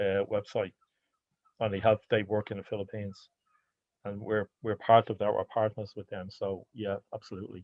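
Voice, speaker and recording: Speaking with an Irish accent, a man with a fairly low pitch keeps a moderate pace while his loudness swings widely. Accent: Irish (Hiberno-English). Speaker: anti-racism sports organizer. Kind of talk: online seminar Q&A. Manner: halting, with repetitions.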